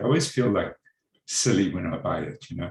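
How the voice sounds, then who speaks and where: A fairly quick, somewhat breathy delivery with lively intonation. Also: man. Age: 60s. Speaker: meditation course participant. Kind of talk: group sharing. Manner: halting.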